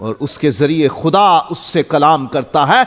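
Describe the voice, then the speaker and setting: A man's voice with lively intonation. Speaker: pastor. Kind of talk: sermon.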